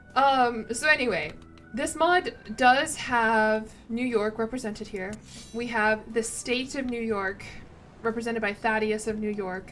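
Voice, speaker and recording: A woman with an American accent talks at a fairly slow pace and a fairly high pitch. Her pitch varies in an ordinary way, with music playing in the background. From US South, Tennessee. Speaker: video game streamer. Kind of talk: casual live-stream commentary. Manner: casual, rambling with self-corrections.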